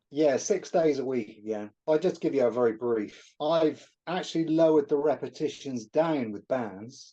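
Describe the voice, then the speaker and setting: A fairly high-pitched man's voice with a dark, mellow tone and a British accent, at a moderate pace with hardly any pauses and ordinary pitch variation, over a quiet background. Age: 60s. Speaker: natural bodybuilder. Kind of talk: interview answer.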